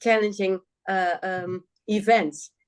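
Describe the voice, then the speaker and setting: A woman speaks with a Dutch accent. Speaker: guest, local government or justice reformer. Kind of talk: podcast interview conversation. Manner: searching for words, halting.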